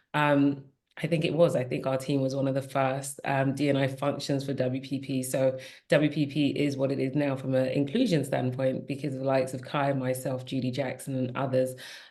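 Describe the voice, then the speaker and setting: The voice has a dark, mellow tone with a British accent. Its intonation is flat and monotone. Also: woman, very deep, low pitch for a woman, fairly quick pace. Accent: British accent, kept. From England, Nigerian parents. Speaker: diversity and inclusion executive. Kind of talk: podcast panel conversation.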